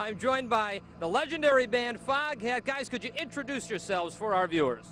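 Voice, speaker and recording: Over noticeable background noise, a man with an extremely high pitch talks at a fairly quick pace in an upbeat tone with lively intonation. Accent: American. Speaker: TV news reporter. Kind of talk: live TV interview.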